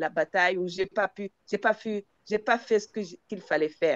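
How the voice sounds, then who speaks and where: A woman's medium-pitched voice at a fairly slow pace, fairly even in intonation, with a dry, close sound and no echo. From Zambia. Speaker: palliative care participant. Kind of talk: discussion contribution in online session. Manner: halting, many hesitations and repetitions.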